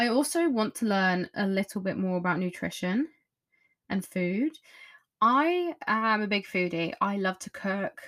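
A woman speaks at a medium pitch in an English accent, at a fairly slow pace. The recording is very clean, with a silent background. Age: 20s. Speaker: podcast host. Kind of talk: casual monologue. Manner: chatty.

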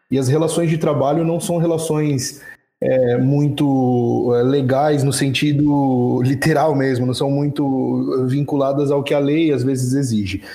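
A man's fairly high voice with a dark, mellow tone, fairly even intonation and a fairly slow pace, with audible room echo. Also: very even loudness. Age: 20s. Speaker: retail store manager. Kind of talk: casual group discussion. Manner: hesitant, many fillers.

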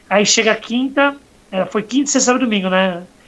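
At a very fast pace, a man speaks with an extremely high pitch. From Santos, Brazil. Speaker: podcast host. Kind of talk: casual chat.

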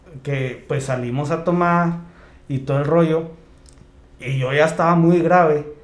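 A man talks at a fairly slow pace in a high voice with ordinary pitch variation. Audible room echo surrounds him. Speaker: podcast co-host. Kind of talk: casual chat.

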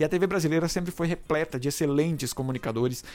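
A man's pitch rises and falls in a normal way. Music can be heard behind him. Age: 30s. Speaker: podcast host. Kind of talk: solo podcast monologue. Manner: halting, with frequent fillers.

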